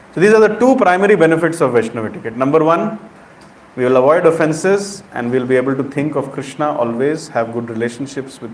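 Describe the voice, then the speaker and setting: A man with an Indian accent talks very fast and with lively intonation, with audible room echo and noticeable background noise. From India, Uttar Pradesh. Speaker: preacher. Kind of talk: sermon.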